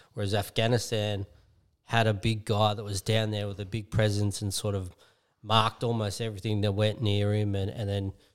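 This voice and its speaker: On a very clean recording with a silent background, a man with an Australian accent speaks at a fairly quick pace. His fairly low voice has monotone, flat intonation. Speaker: podcast co-host. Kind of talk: casual chat.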